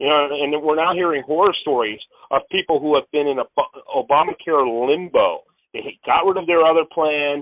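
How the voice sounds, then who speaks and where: A man's normal speaking voice, fairly high in pitch, with ordinary pitch variation and a moderate pace. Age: 50s. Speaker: radio host and political commentator. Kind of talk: interview.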